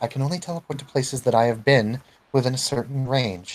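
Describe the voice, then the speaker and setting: A man puts on a rumbling character voice at medium pitch, talking at a very fast pace. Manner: grumbling, annoyed.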